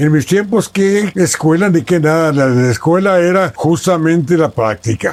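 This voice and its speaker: A man with a high voice speaks fairly slowly but with hardly any pauses, his intonation lively and his loudness very even. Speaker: radio journalist and broadcaster. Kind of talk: interview answer.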